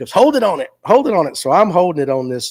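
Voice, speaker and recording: A man speaks with a Southern US accent. His tone is animated. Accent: Southern US (Georgia). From US South, Forsyth County, Georgia. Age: 50s. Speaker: fishing show host. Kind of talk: casual livestream chat. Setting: live stream. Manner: animated storytelling.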